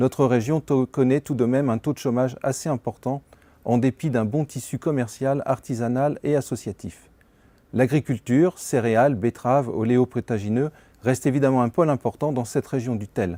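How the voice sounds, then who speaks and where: A man speaks in a dark, mellow tone at a moderate pace with fairly even intonation. The recording is very clean with a silent background and a dry, close sound with no echo. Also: medium pitch for a man. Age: 60s. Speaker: pharmacist, local bank branch chairman. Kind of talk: prepared self-presentation. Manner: formal.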